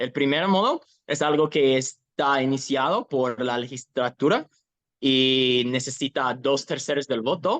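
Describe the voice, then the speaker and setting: A man speaks at a fairly slow pace with fairly even intonation. The sound is dry and close, with no echo. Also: medium pitch for a man. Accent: English. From Ohio, US. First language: English (speaking Spanish). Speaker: activist. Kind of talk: interview. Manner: halting, self-correcting.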